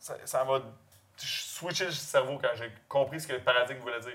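A man speaks with a Quebec accent at a moderate pace. His pitch is medium with ordinary variation. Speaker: pig farmer. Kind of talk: casual interview.

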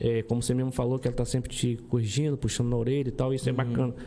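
A very fast man's voice, dark and mellow in tone, at medium pitch. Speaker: podcast co-host. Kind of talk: casual interview chat.

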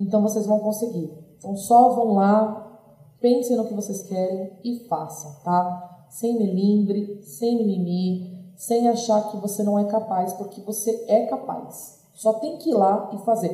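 Audible room echo follows a woman who speaks at a fairly slow pace. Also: medium pitch for a woman, ordinary pitch variation. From São Paulo, Brazil. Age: 30s. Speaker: restaurant owner. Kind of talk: interview.

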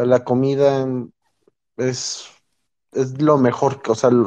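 The tone of the man speaking is dark and mellow. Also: quiet background. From Mexico City area, Mexico. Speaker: Mexican-raised emigrant in the US. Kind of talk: casual chat.

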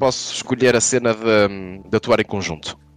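Music plays in the background as a man speaks in a dry, close sound with no echo. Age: 30s. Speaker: comedian. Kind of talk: casual chat.

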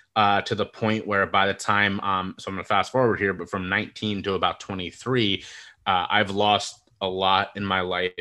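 The man's voice is fairly low and has a bright, sharp tone. The background is quiet. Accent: American. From United States. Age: 30s. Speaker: mental health speaker and podcaster. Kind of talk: casual interview conversation.

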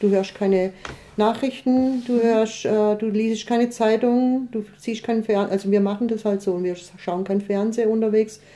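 The speech moves at a moderate pace with monotone, flat intonation. Noticeable background noise sits behind it. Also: woman. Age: 60s. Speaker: long-distance pilgrim. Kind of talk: casual interview.

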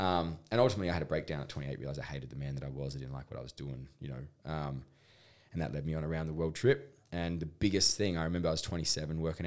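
Speaking very fast, a man talks with a strong Australian accent. His voice is very deep and low, with ordinary pitch variation. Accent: broad Australian. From rural Australia. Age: 30s. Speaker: intimacy coach. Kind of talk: podcast interview.

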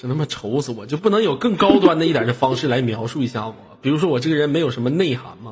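The speech comes at a very fast pace with an animated tone and lively intonation, over noticeable background noise. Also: man, medium pitch for a man. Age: 20s. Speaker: live-stream host. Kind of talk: live-stream chat.

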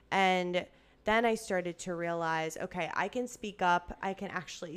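Intonation stays fairly even as a woman talks. Behind her, music plays. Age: 30s. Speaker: podcast host. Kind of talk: casual chat / testimony. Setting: at friend's home.

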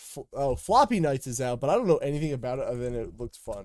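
A man's fairly high voice, an unremarkable speaking voice, with lively intonation at a fairly quick pace. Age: 20s. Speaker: gaming podcast co-host. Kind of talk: casual chat. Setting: live stream.

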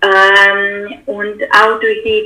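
A woman with a non-native accent speaks at a medium pitch over noticeable background noise. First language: not German (speaking German). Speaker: political scientist, researcher. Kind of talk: interview. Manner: halting, many fillers.

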